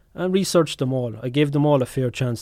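In an Irish accent, a man talks at a very fast pace with a dark, mellow tone and ordinary pitch variation. The recording is very clean and the background silent. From Ireland. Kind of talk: casual chat.

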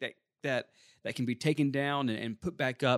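A man with an ordinary speaking voice talks at a medium pitch with fairly even intonation on a very clean recording with a silent background. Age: 30s. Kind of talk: Bible teaching talk.

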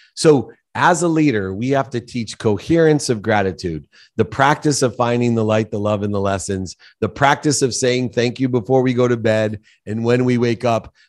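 Here is a man with an unremarkable speaking voice, medium in pitch, with ordinary pitch variation. He talks at a moderate pace against a quiet background. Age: 50s. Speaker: business executive and author. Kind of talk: interview.

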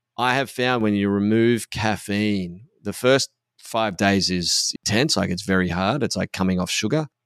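Recorded very cleanly with a silent background and a dry, close sound with no echo, a man speaks with an Australian accent and ordinary pitch variation. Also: fairly low pitch for a man, moderate pace. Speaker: podcast host and men's coach. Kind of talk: casual chat. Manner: subdued.

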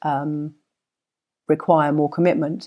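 In a very clean recording with a silent background, a woman speaks fairly slowly in a very deep, low pitch with a dark, mellow tone. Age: 50s. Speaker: podcast host. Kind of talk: solo monologue.

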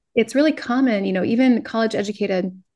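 A woman's plain, everyday voice, fairly high in pitch with an American accent, at a fairly quick pace. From Minnesota. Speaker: online business coach and Etsy seller. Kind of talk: interview.

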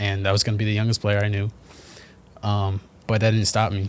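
A man with a New York accent talks at a fairly quick pace in a flat, monotone delivery. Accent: New York area American. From New Jersey, US. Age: 20s. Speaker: professional footballer. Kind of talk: casual chat.

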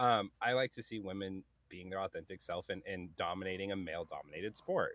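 A plain, everyday voice with an American accent moves at a fairly quick pace and keeps a fairly even intonation. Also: man, fairly low pitch for a man. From US, multiple places (Carolinas, Montana, California). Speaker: podcast host and gamer. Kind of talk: casual chat.

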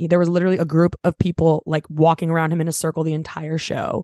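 Over a quiet background, a woman speaks with a Californian accent. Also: dry, close sound with no echo. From Los Angeles, San Fernando Valley. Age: 20s. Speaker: singer-songwriter. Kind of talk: casual chat. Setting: remote call from parents' house.

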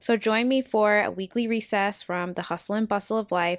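The recording is very clean with a silent background and a dry, close sound with no echo. A woman talks at a fairly quick pace with fairly even intonation in an ordinary speaking voice. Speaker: podcast host and wellness consultant. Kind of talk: guided meditation. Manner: gentle, measured, with long pauses.

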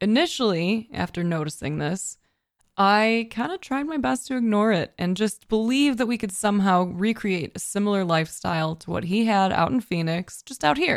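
A woman with an American accent, medium-pitched, lively in intonation, at a moderate pace, on a very clean recording with a silent background. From US Midwest, Chicago suburbs. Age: 30s. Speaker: podcaster and streamer. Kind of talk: solo motivational monologue. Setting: home office at desk.

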